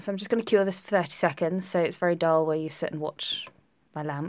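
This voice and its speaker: This is a woman with a British accent. The recording is very clean, with a silent background. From England, Essex (Tiptree). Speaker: nail technician. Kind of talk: live stream tutorial. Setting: live stream. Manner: chatty.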